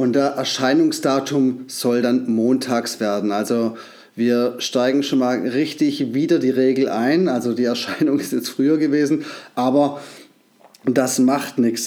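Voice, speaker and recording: Fairly even intonation marks this man's medium-pitched voice. He talks at a fairly slow pace. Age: 40s. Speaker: podcast host. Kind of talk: casual solo monologue. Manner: halting, many filler sounds.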